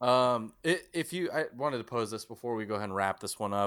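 In a very clean recording with a silent background, a man with an American accent uses a plain, everyday voice at a medium pitch, moderate pace and lively intonation. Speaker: podcast host. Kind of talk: casual chat. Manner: laughs often.

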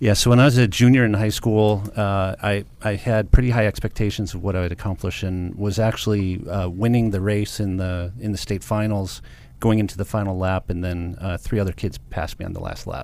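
In an American accent, an unremarkable speaking voice moves at a fairly quick pace with hardly any pauses and fairly even intonation. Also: man, fairly low pitch for a man. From Michigan (Detroit suburbs). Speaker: cybersecurity company founder. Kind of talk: radio interview.

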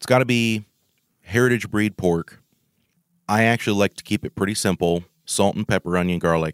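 A man with a West Coast accent speaks at a moderate pace, his pitch fairly low with ordinary variation and big swings in loudness. The sound is dry and close with no echo, on a very clean recording with a silent background. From Oregon. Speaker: home cook and podcast host. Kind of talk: casual interview.

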